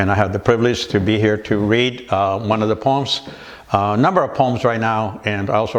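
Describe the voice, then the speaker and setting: Over noticeable background noise, a man with an American accent and fairly low pitch talks at a fairly quick pace. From California. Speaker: writer and poet. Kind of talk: interview answer. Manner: casual, hesitant.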